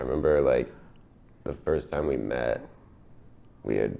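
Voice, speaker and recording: A man with an American accent at a moderate pace. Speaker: indie pop musician. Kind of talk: casual interview.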